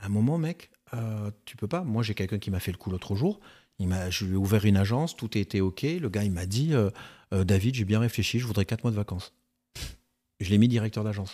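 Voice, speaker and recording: Very clean recording with a silent background: a man's fairly low, dark and mellow voice, fairly quick yet broken by long, frequent pauses, with ordinary pitch variation. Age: 50s. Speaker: real estate agency founder. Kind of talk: casual chat.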